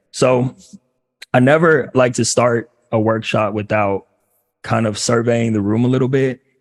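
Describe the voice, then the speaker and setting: Intonation stays fairly even. Long, frequent pauses break up the speech. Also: man, medium pitch for a man. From Los Angeles, US. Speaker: career coach for former athletes. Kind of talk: workshop talk. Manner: fast.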